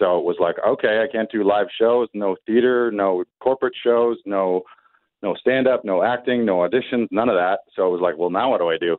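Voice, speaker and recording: In an ordinary speaking voice, a man speaks at a moderate pace in a medium pitch with ordinary pitch variation and a Canadian accent. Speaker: comedian. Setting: phone call.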